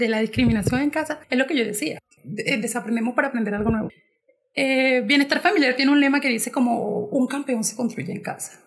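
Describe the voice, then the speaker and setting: A woman speaks at a high pitch and a fairly quick pace. Her pitch variation is ordinary. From Colombia, Caribbean coast (Montería, Córdoba). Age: 20s. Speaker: LGBTI activist. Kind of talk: podcast interview.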